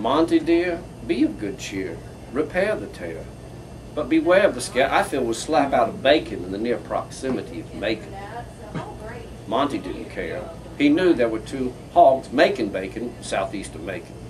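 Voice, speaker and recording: A man speaks at a moderate pace with big swings in loudness over noticeable background noise. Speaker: poet. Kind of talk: live comedic poetry reading.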